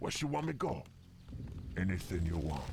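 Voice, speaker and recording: A man's put-on character voice, very deep and low, at a moderate pace over clear background noise. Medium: video game. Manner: broken grammar, eager.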